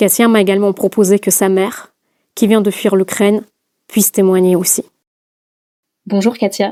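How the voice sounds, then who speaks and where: A dark, mellow tone at a moderate pace, with monotone, flat intonation, very even loudness and long, frequent pauses, in a very clean recording with a silent background. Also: woman, medium pitch for a woman. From Russia. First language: Russian (speaking French). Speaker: podcast host. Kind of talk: scripted narration.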